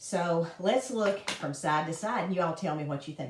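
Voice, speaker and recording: A woman with a fairly low voice talks at a moderate pace amid noticeable background noise. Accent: Southern US. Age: 60s. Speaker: makeup consultant. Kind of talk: casual chat; tutorial. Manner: casual.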